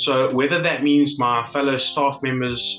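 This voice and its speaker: A man speaks at a moderate pace in a medium-pitched voice, with faint music playing behind him. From South Africa. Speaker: legal assistant. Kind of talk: interview answer. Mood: positive, appreciative. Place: home room. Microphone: webcam.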